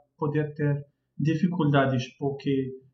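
A man's voice with an Arabic accent. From Morocco, Casablanca. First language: Arabic (speaking Portuguese). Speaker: language teacher. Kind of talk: casual chat. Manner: halting.

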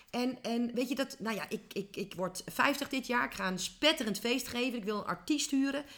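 Her pitch varies in an ordinary way. This woman's voice is high. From Netherlands, small village. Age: 40s. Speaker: business coach. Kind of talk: interview. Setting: office. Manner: animated.

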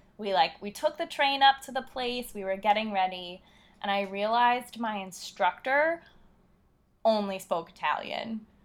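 Delivered with lively intonation at a moderate pace, this is an ordinary speaking voice. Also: woman, fairly high pitch for a woman. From US Northeast, Philadelphia. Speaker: travel blogger. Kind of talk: casual interview.

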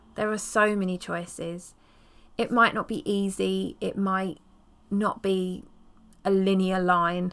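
Recorded very cleanly against a silent background, a woman with an English accent and a warm tone speaks at medium pitch and a very slow pace, with fairly even intonation and long, frequent pauses. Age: 40s. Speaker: podcast host, herbalist and period activist. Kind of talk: personal storytelling monologue. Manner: casual and warm.

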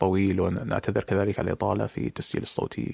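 Talking very fast, a man uses a fairly low pitch. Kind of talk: recorded voice message monologue. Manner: formal Standard Arabic.

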